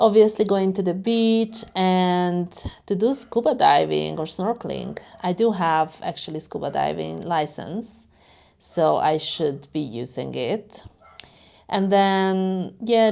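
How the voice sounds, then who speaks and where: Very slowly, a woman with a Hungarian accent speaks at a medium pitch in a dark, mellow tone, on a very clean recording with a silent background. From Hungary. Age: 30s. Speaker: lifestyle vlogger. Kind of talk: casual vlog.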